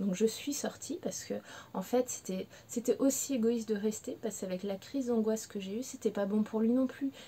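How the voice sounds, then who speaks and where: A woman talks at a fairly quick pace with fairly even intonation and a fairly high pitch. Her tone is dark and mellow, and somewhat breathy. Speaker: pet behaviour consultant. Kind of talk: personal testimony to camera. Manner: emotional, hesitant.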